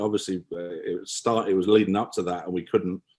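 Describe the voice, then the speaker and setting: A speaker with an English accent, captured in a very clean recording against a silent background. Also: man. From England. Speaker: photography business owner. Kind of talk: podcast interview. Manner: halting.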